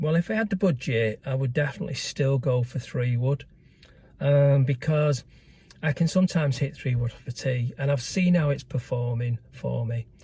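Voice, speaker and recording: This man has a fairly high pitch, a dark, mellow tone and a somewhat breathy quality, with ordinary pitch variation. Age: 70s. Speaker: amateur golfer vlogger. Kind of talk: casual vlog review. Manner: hesitant, many fillers.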